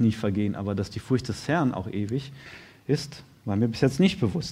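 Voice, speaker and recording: A man speaks with lively intonation. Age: 30s. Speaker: lay preacher, firefighter by trade. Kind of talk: sermon.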